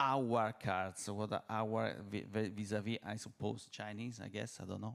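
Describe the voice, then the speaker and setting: With an Italian accent, a man talks at a moderate pace and a medium pitch. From Italy. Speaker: company CEO, panelist. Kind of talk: panel discussion. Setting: stage with audience. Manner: halting, many fillers.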